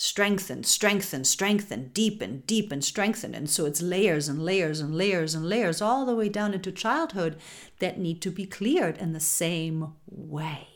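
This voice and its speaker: This woman has an ordinary speaking voice at a medium pitch, with ordinary pitch variation and hardly any pauses. The recording is very clean, the background silent. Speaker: spiritual podcast host. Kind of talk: guided meditation. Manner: slow, soothing, calm; gentle, intimate, affectionate.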